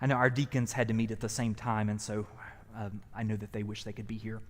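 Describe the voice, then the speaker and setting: With a Southern US accent, a man talks at a very fast pace. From US South. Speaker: pastor. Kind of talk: event introduction. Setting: church hall, live streamed.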